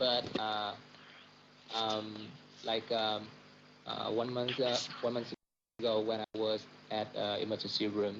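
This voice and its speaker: Music plays in the background as a man speaks with a Vietnamese accent. His pitch is fairly low and his intonation monotone and flat. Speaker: doctor. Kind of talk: casual chat. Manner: halting, many fillers.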